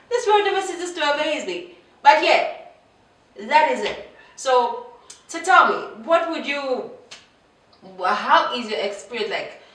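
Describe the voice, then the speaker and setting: With long, frequent pauses, a woman speaks in a high voice whose pitch swings very widely, amid audible room echo and noticeable background noise. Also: fairly slow pace, big swings in loudness. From Zambia. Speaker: vlogger. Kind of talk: casual vlog monologue. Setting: home, seated on a chair. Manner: animated, conversational with many fillers.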